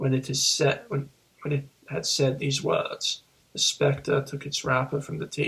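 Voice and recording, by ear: Someone reads aloud here in a natural voice.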